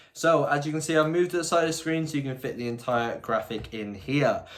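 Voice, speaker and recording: Talking at a very fast pace, a man with an English accent uses a fairly high pitch and ordinary pitch variation. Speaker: football youtuber. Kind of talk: vlog-style predictions monologue.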